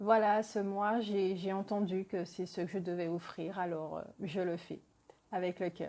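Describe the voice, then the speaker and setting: A woman at medium pitch with monotone, flat intonation and a fairly slow pace. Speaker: tarot card reader. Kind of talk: tarot reading. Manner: halting, many hesitations. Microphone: poor sound quality.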